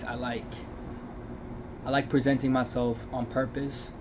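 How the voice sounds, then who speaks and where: Audible room echo and noticeable background noise surround a man talking at a fairly slow pace. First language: Chinese and Uyghur. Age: 20s. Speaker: vlogger, food truck worker. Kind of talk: casual vlog monologue. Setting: in a food truck. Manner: hesitant, many fillers. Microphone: earbud mic, maybe poor audio.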